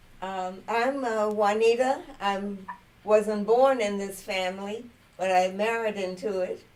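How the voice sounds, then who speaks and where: With an American accent, a woman talks at a fairly slow pace in a medium pitch, her intonation fairly even, with audible room echo. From US South. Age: 80s+. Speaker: family elder. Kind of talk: casual chat.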